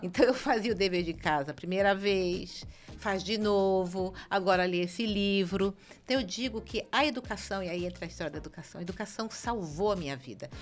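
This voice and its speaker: A woman talks at a moderate pace with ordinary pitch variation while music plays in the background. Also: medium pitch for a woman. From Brazil, Rio de Janeiro. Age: 60s. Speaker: city councillor. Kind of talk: podcast interview.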